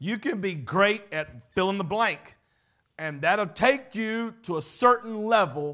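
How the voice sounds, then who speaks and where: On a very clean recording with a silent background, a man with a Southern US accent speaks very slowly in a high-pitched, raised, projected voice with a bright, sharp tone and lively intonation. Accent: Southern American. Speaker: pastor. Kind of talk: sermon / leadership teaching.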